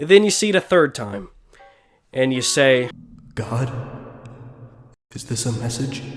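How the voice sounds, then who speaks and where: Over music in the background, a man talks at a moderate pace in a medium pitch. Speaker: gaming YouTuber. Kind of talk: scripted commentary.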